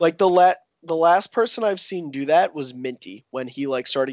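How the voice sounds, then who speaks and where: A plain, everyday voice with an American accent moves at a moderate pace with ordinary pitch variation. The sound is dry and close with no echo over a quiet background. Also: man. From US Northeast. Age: 20s. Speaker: competitive video game player. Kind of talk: casual chat.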